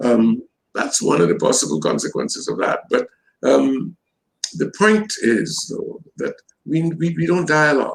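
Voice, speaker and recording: A man talks with a Trinidadian accent. His pace is fairly slow. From Trinidad and Tobago. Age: 70s. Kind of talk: interview.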